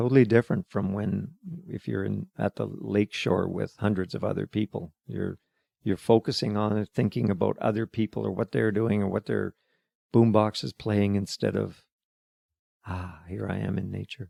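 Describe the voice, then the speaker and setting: With a western Canadian accent, a man speaks fairly low in a dark, mellow tone at a moderate pace with ordinary pitch variation, recorded with a dry, close sound and no echo. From Alberta, Calgary. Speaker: retired excavation worker. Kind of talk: interview. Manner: halting.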